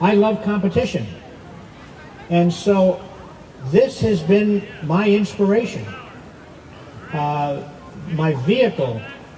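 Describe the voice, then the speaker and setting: Over noticeable background noise and audible room echo, a man with a high pitch and lively intonation speaks at a very slow pace, leaving long, frequent pauses. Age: 80s+. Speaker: masters diver being honored. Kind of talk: dedication speech. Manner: halting.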